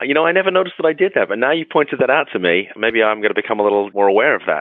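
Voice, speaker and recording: A man's medium-pitched voice at a very fast pace, with very wide pitch swings. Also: very even loudness. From UK. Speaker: attorney. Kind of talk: podcast interview.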